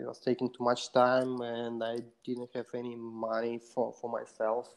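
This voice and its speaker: A man speaks in a Russian accent. His pitch is medium and his pace fairly slow. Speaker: software developer. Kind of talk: interview. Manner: halting, many fillers.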